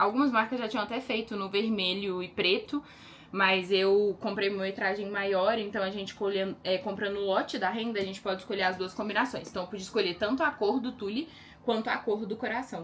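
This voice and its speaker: Fairly quick speech from a woman in a medium register. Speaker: lingerie brand owner. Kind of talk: casual vlog. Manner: fast; animated.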